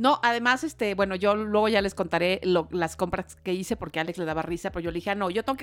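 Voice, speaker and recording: A woman talks at a very fast pace in a Mexico City accent. Her medium pitch has ordinary variation, on a very clean recording with a silent background. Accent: Mexican Spanish (Mexico City). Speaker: podcast co-host, mother of the other host. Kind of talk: casual chat.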